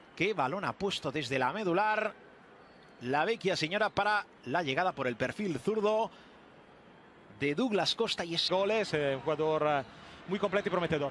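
This man's high-pitched voice moves at a moderate pace with lively intonation, very even loudness, and long, frequent pauses. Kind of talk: live commentary.

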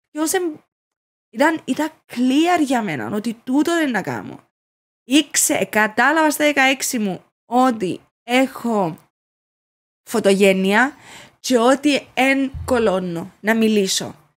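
In a Cypriot accent, a woman speaks at a very slow pace with a high pitch, lively intonation and long, frequent pauses, recorded very cleanly over a silent background. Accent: Cypriot Greek. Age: 30s. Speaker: social media influencer. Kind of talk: casual interview. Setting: studio.

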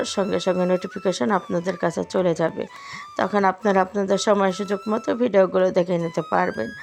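There is noticeable background noise. A woman speaks at a medium pitch over it. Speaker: lifestyle vlogger. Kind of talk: casual vlog narration. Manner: effortful, strained speech.

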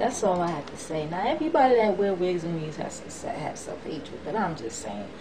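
Her voice sits fairly low in pitch, and the woman talks at a moderate pace. Noticeable background noise runs through the clip. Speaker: vlogger. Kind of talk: casual vlog monologue. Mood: passionate, emphatic. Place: home room. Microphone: webcam.

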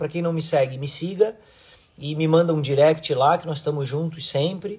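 A man talks at a moderate pace with ordinary pitch variation, and the background is quiet. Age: 40s. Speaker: surf coach and surfboard designer; surf coach. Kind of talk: casual live stream talk to followers. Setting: Instagram live video stream. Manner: animated. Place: home room. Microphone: phone near.

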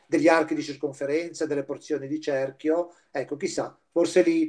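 Fairly high in pitch with a dark, mellow tone, a man speaks at a moderate pace. The background is quiet. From Liguria, Chiavari area; Liguria, Italy. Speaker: volunteer teacher giving an art history lecture. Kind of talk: lecture. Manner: halting, with frequent fillers. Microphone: video call.

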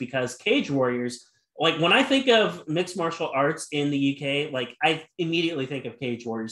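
In an American accent, a man talks at a moderate pace with a fairly high pitch and ordinary pitch variation. Room echo is audible, and the background is quiet. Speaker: podcast interviewer. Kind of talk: interview question. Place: home room.

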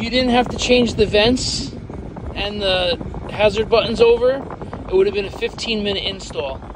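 A man talks at a fairly slow pace with fairly even intonation. The sound is dry with no echo, though background noise is noticeable. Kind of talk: casual product demo chat. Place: car. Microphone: phone near.

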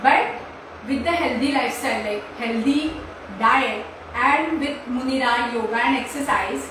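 Amid noticeable background noise and strong room echo, a woman talks in a high pitch with fairly even intonation and long, frequent pauses. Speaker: naturopathy doctor. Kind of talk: short talk. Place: home room. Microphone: camera far.

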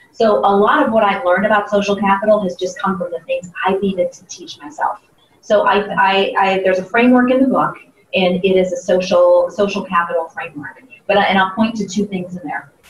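Speaking at a fairly quick pace in an American accent, a woman shows ordinary pitch variation and big swings in loudness. Audible room echo and faint background music are present. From US Midwest, Ohio (Columbus). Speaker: sales trainer and keynote speaker; sales trainer, keynote speaker. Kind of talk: interview. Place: meeting room.

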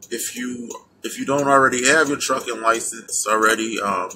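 A man's fairly even intonation over light background noise. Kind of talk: casual vlog chat. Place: car. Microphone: phone near.

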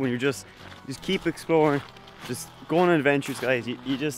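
Over faint background music, a man talks at a fairly quick pace in a dry recording with no echo. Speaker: vlogger. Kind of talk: casual vlog chat. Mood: excited. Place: open country. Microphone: phone near.

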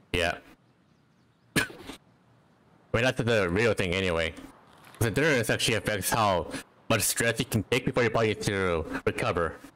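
At a moderate pace and with very even loudness, a man with a fairly low pitch and ordinary pitch variation speaks with long, frequent pauses over noticeable background noise. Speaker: VTuber game streamer. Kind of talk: casual gaming stream chat. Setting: late-night stream at 3 AM.

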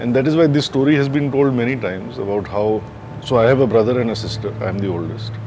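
Noticeable background noise sits behind a man's voice. He talks at a fairly quick pace with ordinary pitch variation. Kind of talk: interview answer. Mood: calm, reflective. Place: garden.

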